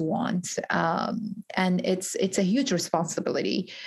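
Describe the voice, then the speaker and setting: Very slowly, a woman speaks at a medium pitch in a somewhat breathy voice. Her intonation stays fairly even, and the recording is very clean with a silent background. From Iraqi Kurdistan, raised in Georgia, US. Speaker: pharmacist and author. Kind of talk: interview. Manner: hesitant, many fillers.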